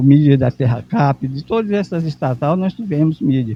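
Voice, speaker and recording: With ordinary pitch variation and a somewhat breathy voice, a man talks at a moderate pace. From Brazil, Maranhão. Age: 70s. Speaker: veteran journalist and cooperative founder. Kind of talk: interview. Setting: event venue at a symposium.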